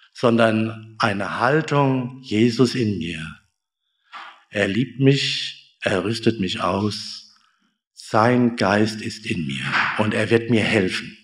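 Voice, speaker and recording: Speaking very slowly with long, frequent pauses, a man at a medium pitch uses ordinary pitch variation, and the room echo is audible. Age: 50s. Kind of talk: sermon. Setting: church service, also streamed on Zoom.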